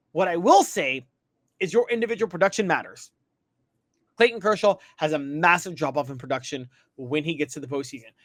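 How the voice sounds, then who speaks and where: Lively intonation and long, frequent pauses mark the speech, heard in a very clean recording with a silent background. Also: man, fairly high pitch for a man, fairly quick pace. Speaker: sports commentator. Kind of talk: opinion monologue. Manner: stumbles over words at times.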